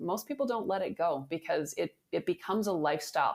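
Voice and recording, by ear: A woman with a fairly low pitch talks at a fairly quick pace.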